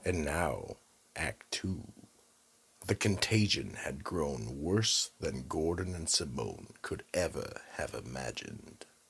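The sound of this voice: A put-on character voice with a husky, rough edge and vocal fry, moving slowly through big swings in pitch. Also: man, extremely low pitch for a man.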